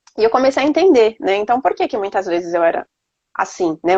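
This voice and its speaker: A woman's fairly high voice at a fairly quick pace, with a dry, close sound and no echo. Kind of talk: faith testimony conversation. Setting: Instagram live video stream. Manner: fast.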